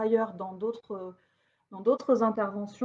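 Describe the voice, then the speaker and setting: This woman's voice sits fairly high in pitch, her intonation fairly even. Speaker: sociologist giving a lecture. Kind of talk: lecture. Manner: halting, many fillers.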